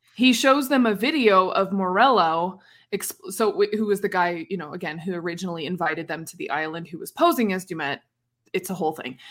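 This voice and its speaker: An animated woman's voice at medium pitch, with a fairly quick pace. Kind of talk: casual chat. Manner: animated, joking.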